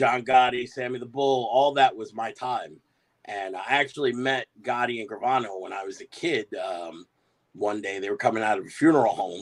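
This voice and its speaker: With an American accent, a man speaks at a moderate pace and medium pitch, with ordinary pitch variation and big swings in loudness. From New York, Bay Ridge, Brooklyn. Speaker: professional wrestler. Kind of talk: casual interview.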